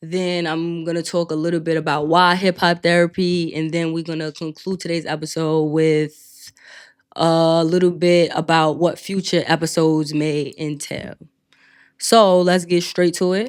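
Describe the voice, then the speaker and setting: On a very clean recording with a silent background, a woman speaks at a fairly slow pace in a monotone, flat intonation. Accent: New York. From New York City, Queens. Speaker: podcast host, clinical social worker. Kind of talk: casual podcast monologue.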